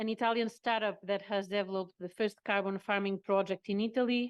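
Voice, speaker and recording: A woman's fairly quick, flat, monotone delivery at a medium pitch, with a dry, close sound and no echo. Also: quiet background. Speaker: workshop moderator. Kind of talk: panel moderation. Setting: conference with interpreters. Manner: fast; halting.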